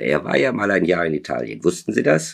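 There is vocal fry in this man's voice as he talks at a moderate pace. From southern Germany (Stuttgart, Lake Constance region). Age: 60s. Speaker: novelist. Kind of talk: interview; reading aloud. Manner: halting, many filler sounds.

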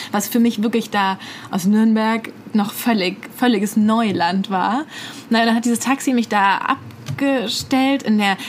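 A woman with a fairly high pitch speaks at a moderate pace, her intonation fairly even, while noticeable background noise carries on behind her. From Bad Mergentheim, Baden-Württemberg, Germany. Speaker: podcast co-host, journalist. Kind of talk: casual chat. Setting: studio.

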